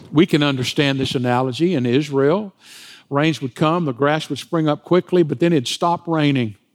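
A man with a normal speaking voice talks at a fairly high pitch and a moderate pace, with ordinary pitch variation, in a dry, close sound with no echo. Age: 60s. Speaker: pastor. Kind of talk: sermon. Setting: church.

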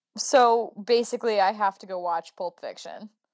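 In a very clean recording with a silent background and a dry, close sound with no echo, a woman uses a normal speaking voice, fairly high in pitch with ordinary variation. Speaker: occasional podcast co-host. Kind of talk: casual chat.

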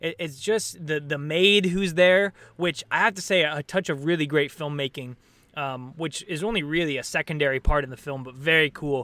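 This man has a fairly high pitch and a bright, sharp tone. He talks with an American accent and ordinary pitch variation. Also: moderate pace. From US Pacific Northwest, Portland area, Oregon. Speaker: actor. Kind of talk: casual chat. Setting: video call.

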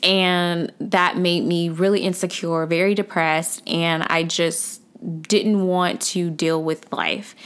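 On a very clean recording with a silent background, the voice speaks at a very slow pace in a flat monotone with very even loudness. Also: woman, fairly low pitch for a woman. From US South, Atlanta, Georgia. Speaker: personal finance blogger and podcaster. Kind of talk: solo podcast monologue.

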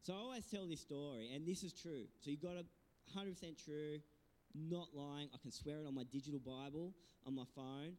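Moderately paced speech from a man, his pitch fairly high and its variation ordinary. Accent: Australian. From Australia, New South Wales south coast. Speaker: pastor. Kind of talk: sermon. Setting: church. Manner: animated.

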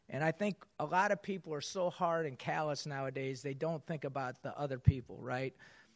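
A man with a normal speaking voice and a fairly high pitch talks at a moderate pace with ordinary pitch variation against a quiet background. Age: 50s. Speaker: basketball coach speaking to business audience. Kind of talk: motivational talk.

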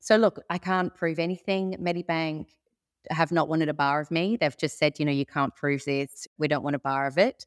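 Recorded very cleanly against a silent background, with a dry, close sound and no echo, a woman with an Australian accent speaks at a moderate pace in a very deep, low pitch with ordinary pitch variation. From Sydney, Australia. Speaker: cybercrime victim. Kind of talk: interview.

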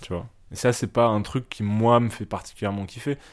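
The speech keeps a moderate pace. The recording is very clean, with a silent background. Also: man. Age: 20s. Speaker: interviewee. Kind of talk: intimate interview. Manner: hesitant.

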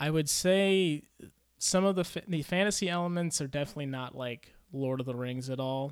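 In a plain, everyday voice, a man speaks at a fairly quick pace and a fairly high pitch. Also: ordinary pitch variation. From US, moved among five states. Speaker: engineer and novelist. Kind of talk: casual chat. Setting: in-person studio interview.

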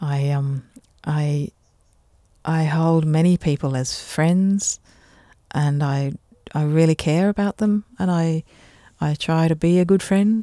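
A woman with an Australian accent speaks very slowly with long, frequent pauses, her very deep, low voice dark and mellow in tone with ordinary pitch variation, on a very clean recording with a silent background and a dry, close sound with no echo. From Australia, Adelaide and Canberra. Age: 50s. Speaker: botanical artist. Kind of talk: casual chat. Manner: animated.

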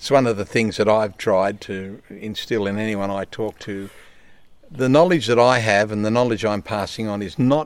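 In an Australian accent, a man speaks at a moderate pace with a fairly low pitch and fairly even intonation. His loudness swings widely, and the recording is very clean with a silent background. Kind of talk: casual interview. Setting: outdoors by a river.

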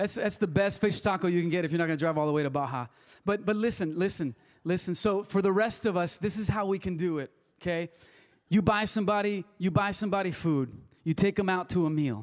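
A man's high, very fast voice with a Spanish accent and ordinary pitch variation. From Wilmington, US (Spanish-speaking family). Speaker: pastor. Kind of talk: sermon. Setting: church service with congregation. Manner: casual, conversational with fillers.

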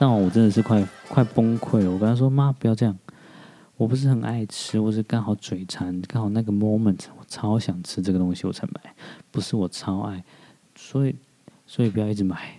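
A man with a fairly low pitch and a dark, mellow tone speaks at a fairly quick pace. His intonation stays fairly even. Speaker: podcast host. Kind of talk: casual monologue. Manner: hesitant, many fillers.

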